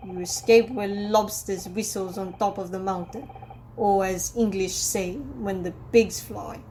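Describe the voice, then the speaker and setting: Against clear background noise, a man does a gruff put-on character voice at a high pitch, talking fairly slowly with fairly even intonation and big swings in loudness. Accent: Russian. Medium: solo performance. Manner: blunt broken English, gruff.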